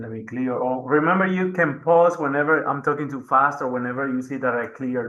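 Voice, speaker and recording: A man speaks at a moderate pace with ordinary pitch variation in an ordinary speaking voice. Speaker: math teacher. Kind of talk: tutorial.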